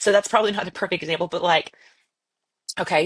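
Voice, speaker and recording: A woman's voice with fairly even intonation. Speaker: podcast co-host. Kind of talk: casual chat. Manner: loud.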